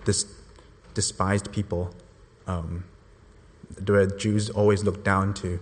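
In a monotone, flat intonation, the voice comes across somewhat breathy. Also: man. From Hong Kong. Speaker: church intern on mission trip. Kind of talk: testimony. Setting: church.

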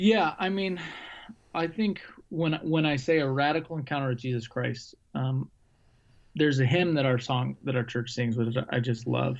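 The speaker has an American accent and a moderate pace with ordinary pitch variation. Long, frequent pauses break up the speech. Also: man, medium pitch for a man. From Arizona, US. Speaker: pastor. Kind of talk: casual chat.

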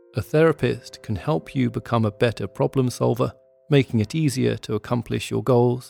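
A man with a British accent speaks in a dramatic tone, recorded dry and close with no echo. Music plays in the background. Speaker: podcast host and narrator. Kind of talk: true-crime narration, scripted and atmospheric. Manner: measured, suspenseful, dramatic; formal, vivid storytelling.

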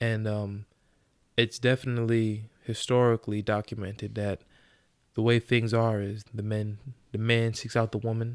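In a very clean recording with a silent background, a man speaks at medium pitch. His pace is moderate and his intonation is monotone and flat. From Long Island, New York. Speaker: podcast host guest. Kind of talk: casual chat.

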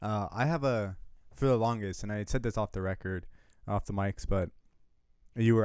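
In a very clean recording with a silent background, a man with a normal speaking voice talks fairly quickly, his fairly low pitch held in fairly even intonation. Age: 20s. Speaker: student newspaper editor. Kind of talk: casual chat.

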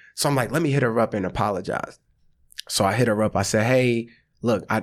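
A man with an American accent speaks in a normal speaking voice at a fairly quick pace. His pitch is medium with ordinary variation, in a very clean recording with a silent background. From US South, rural Georgia. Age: 30s. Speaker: comedian and actor. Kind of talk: casual chat.

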